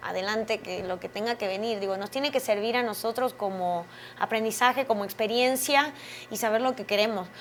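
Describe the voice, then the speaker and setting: This woman has a high pitch and ordinary pitch variation. She talks at a moderate pace. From Argentina. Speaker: actress. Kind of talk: interview.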